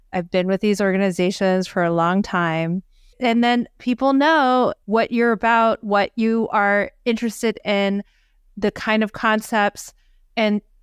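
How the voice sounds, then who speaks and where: In an ordinary speaking voice, a woman with a fairly high pitch talks at a fairly slow pace, with ordinary pitch variation and very even loudness, on a very clean, dry, close recording with a silent background and no echo. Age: 50s. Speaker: physician podcast co-host. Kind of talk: casual podcast discussion.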